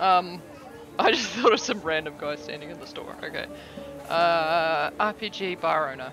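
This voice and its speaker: A fairly slow pace in a New Zealand accent, with noticeable background noise. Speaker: streamer playing an AI detective game. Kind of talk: casual.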